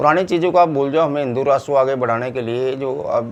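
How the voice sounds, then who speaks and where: This man talks at a moderate pace in an unremarkable speaking voice, with a fairly high pitch and ordinary pitch variation. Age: 60s. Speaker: political commentator. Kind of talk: opinion monologue.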